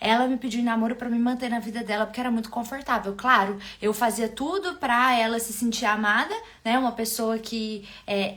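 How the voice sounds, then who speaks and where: Over noticeable background noise, a woman with a mineiro accent speaks at a fairly quick pace, her fairly high pitch carrying fairly even intonation. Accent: mineiro accent, still noticeable. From Minas Gerais, Brazil. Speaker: love and relationship coach. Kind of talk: live stream talk to viewers. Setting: live stream.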